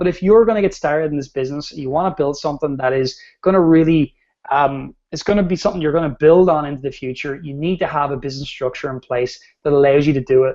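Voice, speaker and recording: A very fast-talking man, his pitch fairly high and its variation ordinary. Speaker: ecommerce course creator presenting a webinar. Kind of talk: online presentation.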